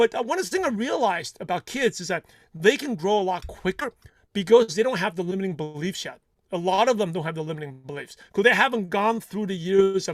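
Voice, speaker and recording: In a very clean, dry, close recording with no echo and a silent background, a man with a non-native accent speaks fairly quickly at a high pitch with lively intonation. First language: not English. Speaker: consistency coach for network marketers. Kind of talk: interview.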